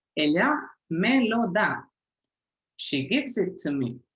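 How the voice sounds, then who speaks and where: Speaking at a very slow pace, a woman uses vocal fry and very wide pitch swings. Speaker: language teacher. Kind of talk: tutorial.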